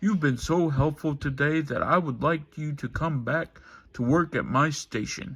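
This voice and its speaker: In a very clean recording with a silent background, a put-on character voice is raised and projected, moving at a moderate pace with ordinary pitch variation. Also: man, fairly high pitch for a man. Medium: read story. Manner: authoritative.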